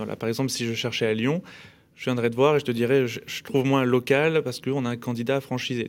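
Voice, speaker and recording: A man speaks at a very fast pace in a medium pitch. His intonation stays monotone and flat. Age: 30s. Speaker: hair salon chain co-founder. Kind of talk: casual radio interview. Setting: radio studio.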